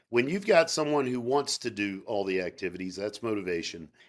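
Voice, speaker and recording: Spoken at a moderate pace with a Southern US accent, the voice has lively intonation on a very clean recording with a silent background. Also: man. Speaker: sales trainer. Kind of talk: interview. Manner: animated.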